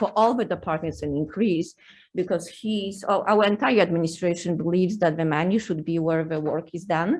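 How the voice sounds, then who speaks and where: A woman with a Polish accent, fairly low pitch and fairly even intonation against a quiet background. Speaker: university administrator. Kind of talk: legislative testimony. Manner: halting.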